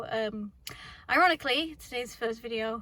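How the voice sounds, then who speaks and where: A quiet woman talks in a high pitch with a bright, sharp tone and ordinary pitch variation. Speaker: mechanic. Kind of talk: casual talk to camera. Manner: quiet, fast.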